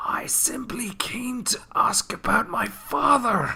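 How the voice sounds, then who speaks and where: In a put-on character voice, a man whispers in a raspy, guttural way. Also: fairly slow pace. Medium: machinima. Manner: snarling.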